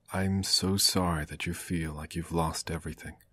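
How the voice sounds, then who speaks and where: With music playing in the background, a man speaks at a fairly slow pace in a very deep, low pitch, varying it in an ordinary way. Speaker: amateur story narrator. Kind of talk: story reading. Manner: emotional, heartfelt.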